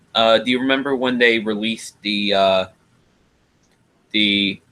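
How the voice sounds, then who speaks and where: A man is speaking. The pitch of his voice is medium. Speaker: live stream host. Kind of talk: casual chat.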